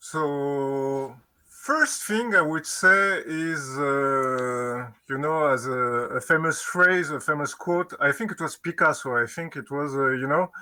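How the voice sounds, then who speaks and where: With a French accent, a man speaks at a very slow pace and fairly high pitch, with ordinary pitch variation. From France. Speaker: game designer. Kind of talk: interview. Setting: live stream. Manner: halting.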